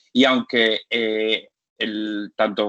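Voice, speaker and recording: Keeping a medium pitch, the man speaks with fairly even intonation. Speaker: physician lecturer. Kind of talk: lecture. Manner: fast; halting.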